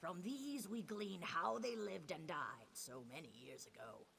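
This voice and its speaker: Putting on a character voice, a man speaks high with very wide pitch swings at a moderate pace, with clear background noise. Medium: video game. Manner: solemn, measured.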